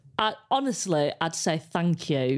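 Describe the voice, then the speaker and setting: Very wide pitch swings mark this woman's fairly slow delivery. The recording is very clean, with a silent background. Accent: English. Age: 30s. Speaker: comedian. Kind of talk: casual chat.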